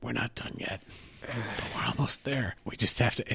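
A man does a raspy, put-on character voice, pitched medium and delivered at a moderate pace. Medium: actual play. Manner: earnest, weary.

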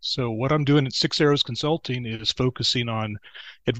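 A man with a Texan accent, medium pitch and ordinary pitch variation, dry and close with no echo, over a quiet background. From Texas. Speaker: banking consultant, former bank CFO. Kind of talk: casual interview chat.

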